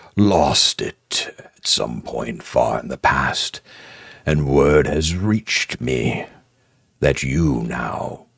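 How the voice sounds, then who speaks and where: A man performs a put-on character voice. It sounds gravelly and raspy. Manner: menacing, imperious.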